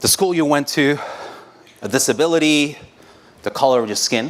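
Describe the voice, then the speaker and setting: Pitch shifts by ordinary amounts. The tempo is moderate. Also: man. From Mexico. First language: Spanish. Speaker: designer, conference speaker. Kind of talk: conference talk. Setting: stage with audience. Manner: conversational, with frequent fillers and restarts.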